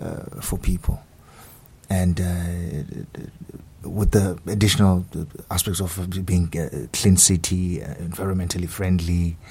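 A man's very deep, low voice with a dark, mellow tone, somewhat breathy, fairly even in intonation, at a very slow pace. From South Africa. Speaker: graduate student. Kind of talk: radio interview. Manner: halting.

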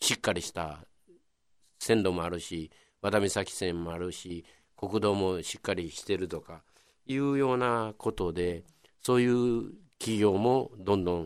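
A man with a Kobe accent, fairly low in pitch, with ordinary pitch variation and a fairly slow pace, on a very clean recording with a silent background. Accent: Kansai (Kobe) dialect. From Kobe, Nagata area. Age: 70s. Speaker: local historian. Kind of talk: radio interview.

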